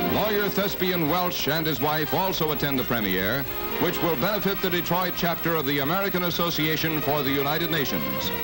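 At a moderate pace the talking goes on while clear music sounds behind it. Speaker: newsreel narrator. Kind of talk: newsreel narration. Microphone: old recording.

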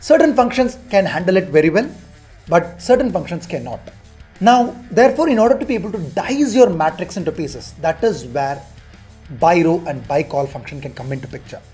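A man speaks fairly quickly in a high voice, with big swings in loudness. Faint music plays in the background. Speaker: spreadsheet instructor. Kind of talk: tutorial.

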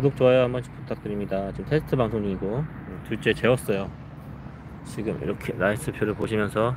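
At a fairly quick pace and with ordinary pitch variation, a man is heard in a dry sound with no echo against noticeable background noise. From South Korea. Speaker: live streamer, father; live streamer. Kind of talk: casual live stream chat. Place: forest. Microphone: phone near.

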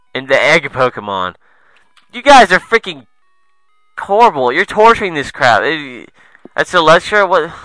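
A man's high-pitched voice with very wide pitch swings and long, frequent pauses, over background music, the sound dry and close with no echo. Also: moderate pace, big swings in loudness. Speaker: let's play gamer. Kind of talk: gameplay commentary. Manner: animated.

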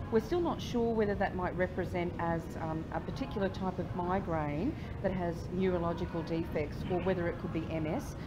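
There is noticeable background noise as a woman talks at a moderate pace with hardly any pauses. Her pitch varies in an ordinary way. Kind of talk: interview answer. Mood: earnest, emotional. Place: bar. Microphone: phone near.

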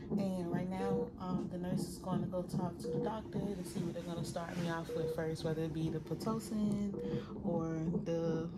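Loud background noise fills the clip. Through it, a woman talks at a moderate pace. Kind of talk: casual vlog chat. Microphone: phone near.

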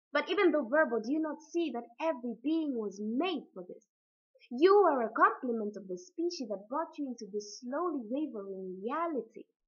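A woman's voice moves through very wide pitch swings. The background is quiet. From Africa. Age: young. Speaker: spoken word poet. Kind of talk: poetry reading. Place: home room. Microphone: webcam.

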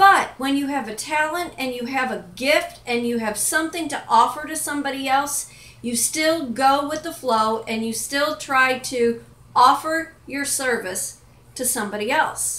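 A woman projects a raised voice at a high pitch. Her pace is fairly slow, with ordinary pitch variation. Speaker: life and business coach, vlogger. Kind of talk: pep talk, motivational monologue to camera. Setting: home kitchen, self-recorded video. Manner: earnest, emphatic, direct, encouraging.

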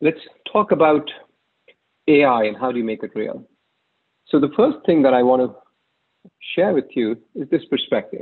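A man is talking against a quiet background. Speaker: presenter. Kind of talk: conference talk. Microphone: webcam.

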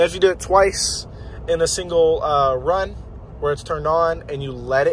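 The speech moves at a moderate pace over light background noise, with a dry sound and no echo. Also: man. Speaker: driver demonstrating vehicle feature. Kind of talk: tutorial. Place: car. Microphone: phone near.

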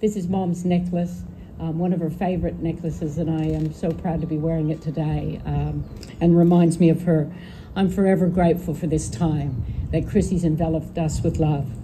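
A woman with a fairly low pitch talks against noticeable background noise. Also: fairly even intonation, moderate pace. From Northern California. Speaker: daughter of the deceased giving eulogy. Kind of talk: eulogy reading. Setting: memorial gathering with audience. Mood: emotional, fond, grateful. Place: garden. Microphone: podium.

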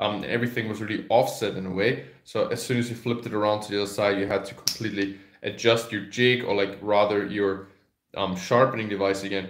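A man talks at a very fast pace and fairly low pitch with fairly even intonation. Audible room echo comes through over a quiet background. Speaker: carving teacher. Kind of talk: product demo tutorial. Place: home room. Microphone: phone near.

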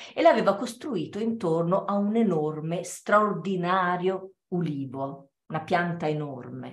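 A woman speaks fairly slowly and somewhat breathily, her intonation lively. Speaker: theatre performer; theatre storyteller. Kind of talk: dramatic reading aloud. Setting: video call. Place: home room. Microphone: video call.

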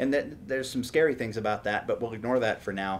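A man with an American accent at a very fast pace, over light background noise. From Houston, Texas. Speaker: tech startup CEO. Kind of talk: interview podcast. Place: home room.

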